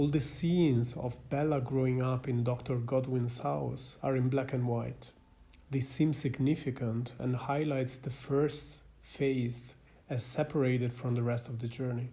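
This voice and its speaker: A man speaks at a medium pitch with a non-native accent, his tone dark and mellow. His delivery is fairly slow, somewhat breathy, and flat in a monotone. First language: not English. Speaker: psychiatrist and film commentator. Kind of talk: scripted film analysis narration. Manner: formal.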